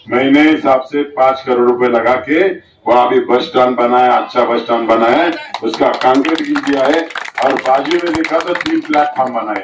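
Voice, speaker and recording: There is audible room echo and noticeable background noise around a man talking at a medium pitch. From Maharashtra, Yeola (Nashik district). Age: 60s. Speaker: politician. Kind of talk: campaign speech. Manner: animated.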